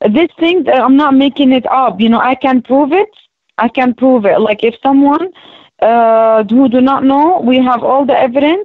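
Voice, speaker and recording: Her loudness very even, a woman with an Arabic accent speaks at a high pitch and moderate pace with ordinary pitch variation. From Palestinian, raised in Jordan and Saudi Arabia. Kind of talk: interview. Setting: radio show. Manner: halting.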